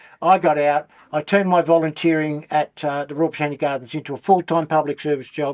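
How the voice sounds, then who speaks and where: With an Australian accent, a man talks very fast at a fairly high pitch, his intonation monotone and flat. The background is quiet, and the sound is dry and close with no echo. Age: 70s. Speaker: former criminal, drug law reform campaigner. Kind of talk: casual interview. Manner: halting, repetitive.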